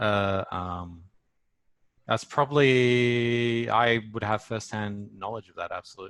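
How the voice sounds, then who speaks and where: With an Australian accent and a bright, sharp tone, a man talks at a very slow pace and medium pitch, with ordinary pitch variation. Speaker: storyboard artist. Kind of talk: casual chat. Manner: hesitant, many fillers.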